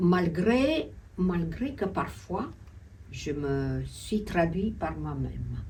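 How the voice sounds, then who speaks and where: A woman with a Romanian accent at a very slow pace, long, frequent pauses, and audible room echo. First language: Romanian (speaking French). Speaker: host. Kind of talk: interview discussion.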